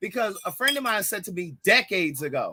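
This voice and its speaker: A man speaks in a raised, projected voice with a bright, sharp tone. His delivery is animated. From US, Baltimore, Maryland. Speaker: podcast co-host. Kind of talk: casual chat.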